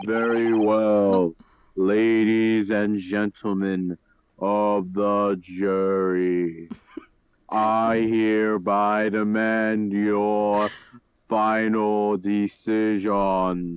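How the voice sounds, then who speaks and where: Delivered at a very slow pace, the put-on character voice stays monotone and flat. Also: man, fairly low pitch for a man. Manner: cartoonish.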